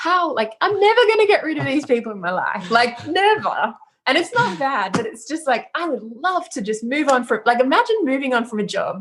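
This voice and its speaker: A woman talks at a fairly quick pace with hardly any pauses. Her high voice makes very wide pitch swings. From Australia. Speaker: music producer and DJ. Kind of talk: casual interview chat. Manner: casual, hesitant with fillers.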